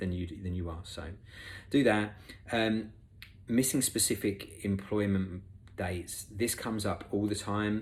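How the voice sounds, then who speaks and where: In an English accent, the somewhat breathy voice moves at a fairly slow pace with fairly even intonation and long, frequent pauses, with audible room echo. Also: man, fairly low pitch for a man. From England. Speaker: recruitment expert, conference speaker. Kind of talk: conference talk. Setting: remote presentation. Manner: casual, with many fillers.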